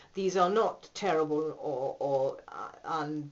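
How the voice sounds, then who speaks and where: At a very slow pace, a woman speaks in a very deep, low pitch with ordinary pitch variation. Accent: British. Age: 60s. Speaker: patient giving a testimonial. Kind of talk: testimony. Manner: hesitant, with many fillers.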